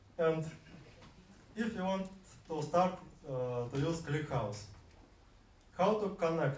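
Amid noticeable background noise and audible room echo, a man speaks at a very slow pace and a fairly high pitch, with lively intonation and long, frequent pauses. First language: Russian. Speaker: software developer presenting at a meetup. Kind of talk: conference talk. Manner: halting, many fillers.

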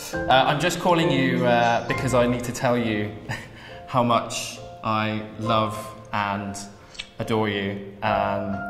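Ordinary pitch variation at a fairly slow pace, with long, frequent pauses and clear music in the background. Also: man. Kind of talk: emotional personal phone call. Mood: tender, a bit nervous, hesitant. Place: studio.

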